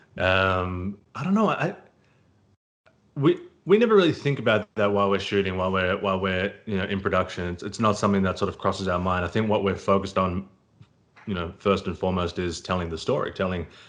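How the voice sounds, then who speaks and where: Speaking at a fairly quick pace, a man uses a very deep, low voice. His intonation is fairly even. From Australia. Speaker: actor. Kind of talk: interview. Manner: hesitant, many fillers and repeated words.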